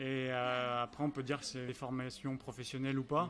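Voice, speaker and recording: A man talks at a fairly quick pace. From France, Angers (Pays de la Loire). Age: 30s. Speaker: restaurant owner and pastry chef. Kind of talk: interview over lunch. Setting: restaurant, over lunch. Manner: hesitant, many fillers.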